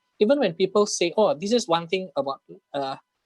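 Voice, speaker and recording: With an Indonesian accent and lively intonation, a man speaks in a dry, close sound with no echo. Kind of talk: casual Q&A in an online English class.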